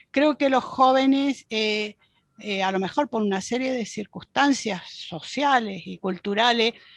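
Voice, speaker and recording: In a dry, close sound with no echo, a woman with a fairly high voice speaks at a fairly slow pace, with ordinary pitch variation. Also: quiet background. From Chile. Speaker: Jungian psychologist and university professor. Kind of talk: podcast interview answer.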